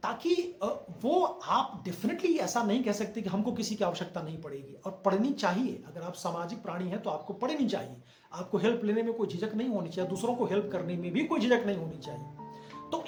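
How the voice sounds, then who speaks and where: Music plays in the background as a man speaks at a moderate pace. His voice is high-pitched with lively intonation. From Bihar, India. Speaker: actor and content creator. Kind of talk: casual opinion talk to camera.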